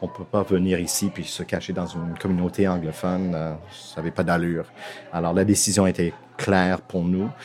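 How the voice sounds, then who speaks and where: With music in the background, a man with an English-Canadian accent speaks in a very deep, low pitch and a monotone, flat intonation. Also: moderate pace. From Toronto, Canada. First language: English (speaking French). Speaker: theatre school director. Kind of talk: interview. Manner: halting.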